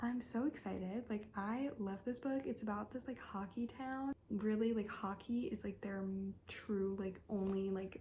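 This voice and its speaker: Over noticeable background noise, the speech moves at a fairly slow pace with fairly even intonation. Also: woman, medium pitch for a woman. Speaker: book youtuber. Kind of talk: casual chat.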